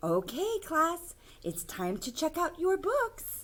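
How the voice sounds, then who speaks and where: A squeaky, put-on character voice pitched extremely high moves at a fairly slow pace. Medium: read story.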